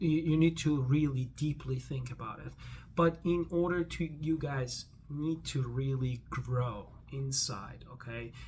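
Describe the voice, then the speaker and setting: Somewhat breathy, this voice moves fairly slowly and shows ordinary variation in pitch. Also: man, medium pitch for a man. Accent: non-native. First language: not English. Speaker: vlogger. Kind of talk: casual vlog monologue. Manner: halting, many false starts.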